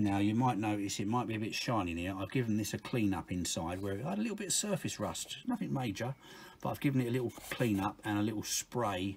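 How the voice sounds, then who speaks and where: A man talks at a very fast pace in a fairly low, somewhat breathy voice. His pitch varies in an ordinary way. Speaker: car mechanic video maker. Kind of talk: tutorial.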